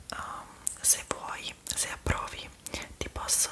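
A woman is whispering. Her tone is gentle. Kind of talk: roleplay addressed to viewer, soft and casual. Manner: soft, gentle ASMR murmur. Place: home room. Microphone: phone near.

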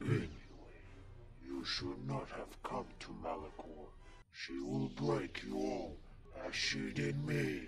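Against loud background noise, a man puts on a character voice, speaking at a fairly slow pace with long, frequent pauses. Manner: menacing, grandiose.

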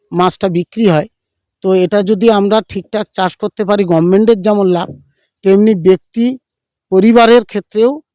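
A man speaks at a high pitch in a dark, mellow tone with fairly even intonation. The sound is dry and close, with no echo. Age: 60s. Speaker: fish farmer. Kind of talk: interview. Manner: halting.

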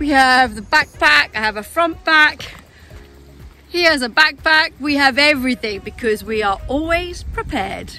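A woman uses a raised, projected voice. Faint music plays in the background of a dry sound with no echo. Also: moderate pace. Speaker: hiking vlogger. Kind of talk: casual vlog chat. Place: open country. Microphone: phone near.

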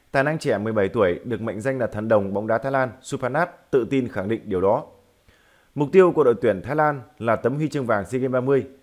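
Very fast and at a medium pitch, a man speaks with ordinary pitch variation on a very clean recording with a silent background. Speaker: football news presenter. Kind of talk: news reading. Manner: formal.

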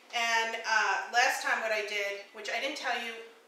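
Her intonation stays fairly even at a moderate pace. The woman's voice carries audible room echo. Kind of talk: tutorial. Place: kitchen. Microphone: camera far.

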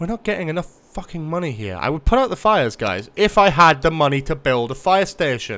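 An animated, bright, sharp voice at a fairly quick pace, with very wide pitch swings and hardly any pauses. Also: man. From Newcastle, northeast England. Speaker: gaming streamer. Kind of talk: casual live gameplay commentary. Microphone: studio mic.

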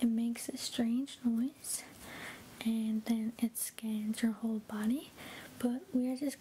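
A soft-spoken woman with a gentle tone, monotone, flat intonation, very even loudness and a fairly slow pace, over light background noise. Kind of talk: soft-spoken medical roleplay. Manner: soft, gentle ASMR speaking.

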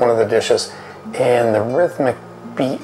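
Clear background music accompanies a man's voice. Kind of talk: interview answer. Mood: fond, reminiscing. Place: bar.

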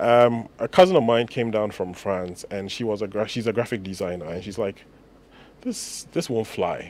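A man speaks at a fairly quick pace. The sound is dry, with no echo. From Ghana. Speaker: entrepreneur; guest. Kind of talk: radio interview. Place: studio. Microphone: studio mic.

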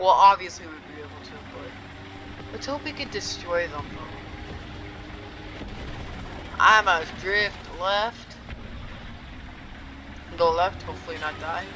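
Noticeable background noise lies under fairly slow speech broken by long, frequent pauses. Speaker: gamer. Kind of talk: gameplay commentary.

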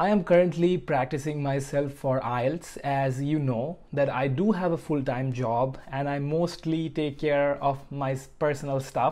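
A man speaks at a fairly slow pace. His intonation is fairly even. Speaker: study vlogger. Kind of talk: casual vlog chat. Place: home room. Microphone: lapel.

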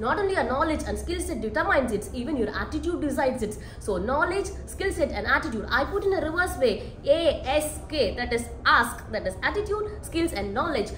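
A woman with a high pitch speaks at a fairly quick pace, with hardly any pauses and very wide pitch swings. Audible room echo and light background noise surround her. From India, Tamil Nadu. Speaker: energy researcher. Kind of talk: interview. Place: hall. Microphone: camera far.

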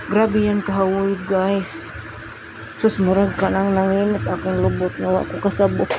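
A woman speaks at a moderate pace with very even loudness. Noticeable background noise runs underneath. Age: 40s. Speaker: vlogger. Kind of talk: casual workout vlog.

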